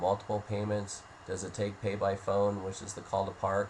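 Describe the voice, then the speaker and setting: A man talks at a moderate pace in a fairly low pitch. Noticeable background noise runs behind him. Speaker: software demo presenter. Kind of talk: software tutorial walkthrough.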